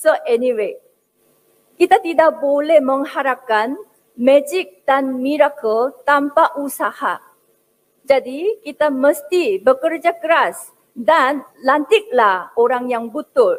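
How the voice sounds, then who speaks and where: Speaking very slowly with a Korean accent, a woman uses a high pitch and lively intonation. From South Korea. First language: Korean (speaking Indonesian). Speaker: academic speaker. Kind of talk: speech. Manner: hesitant, frequent fillers.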